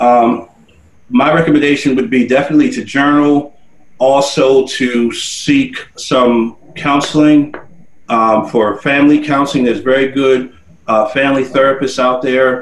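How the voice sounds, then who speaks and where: In a normal speaking voice, a man with an American accent talks at a fairly slow pace. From New Jersey (Paterson). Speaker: nonprofit leader and military veteran. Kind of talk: interview. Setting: studio.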